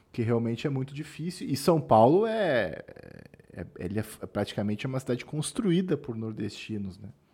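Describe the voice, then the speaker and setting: A man with a slight gaúcho accent speaks at a moderate pace in a dark, mellow tone at medium pitch. His pitch swings very widely and his loudness rises and falls in big swings. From southern Brazil. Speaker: podcast host. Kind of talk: casual chat.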